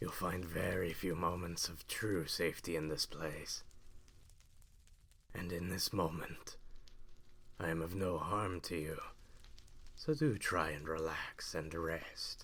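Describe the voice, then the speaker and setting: Someone uses a put-on character voice at a fairly slow pace, leaving long, frequent pauses. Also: man, very deep, low pitch for a man. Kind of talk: roleplay audio. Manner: calm, polite.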